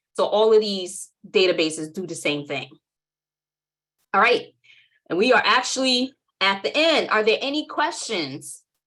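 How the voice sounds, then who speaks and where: With a New York accent, a woman speaks at a fairly slow pace in a fairly high, bright, sharp voice with very wide pitch swings and long, frequent pauses. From New York City (Southside Jamaica, Queens). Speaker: workshop presenter and marketing agency owner. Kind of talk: webinar workshop presentation. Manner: casual, conversational.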